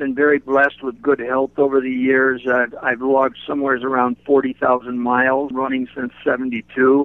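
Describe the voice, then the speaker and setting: At a moderate pace and hardly any pauses, a man speaks at medium pitch with monotone, flat intonation. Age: 60s. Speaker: runner. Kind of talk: interview.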